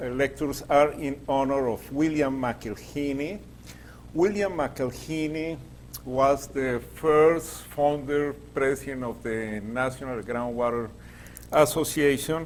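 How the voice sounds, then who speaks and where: Spoken very slowly with a Latin American accent and ordinary pitch variation, the voice comes through audible room echo and noticeable background noise. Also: man. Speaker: groundwater engineer and professor. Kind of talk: lecture. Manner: halting, many fillers.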